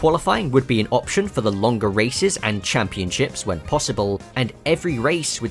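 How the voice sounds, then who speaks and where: With music in the background, a man at medium pitch speaks at a moderate pace, his voice making very wide pitch swings. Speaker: racing game video essayist. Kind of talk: video essay narration.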